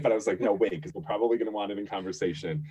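This man's voice is somewhat breathy. He speaks with an American accent. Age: 30s. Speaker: astrologer. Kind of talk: casual chat.

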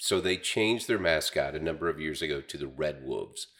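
A man talks at a fairly quick pace with an Ozarks accent. The recording is very clean, with a silent background. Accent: Ozarks Southern American. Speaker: radio personality and county councilman. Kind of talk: casual interview.

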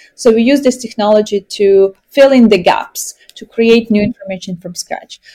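Her fairly high pitch carries a dark, mellow tone with fairly even intonation. The woman keeps a moderate pace with hardly any pauses in a dry, close sound with no echo. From Ukraine. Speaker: tech startup CEO. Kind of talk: interview.

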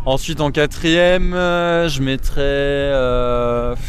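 Audible room echo surrounds the man as he talks. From Paris, France. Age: 20s. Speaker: gamer, music fan. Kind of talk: casual chat. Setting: outdoors, in a park.

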